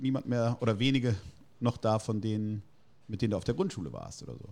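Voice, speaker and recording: A man with a normal speaking voice and medium pitch talks at a fairly quick pace with ordinary pitch variation. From Germany, Heidelberg. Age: 40s. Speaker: burger restaurant owner. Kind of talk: casual interview. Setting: in person at his restaurant.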